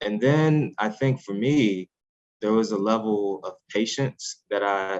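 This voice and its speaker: A normal speaking voice from a man with an American accent, fairly low-pitched for a man, with ordinary pitch variation and a dry, close sound with no echo. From US Midwest, North St. Louis area. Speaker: scientist and author. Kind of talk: interview.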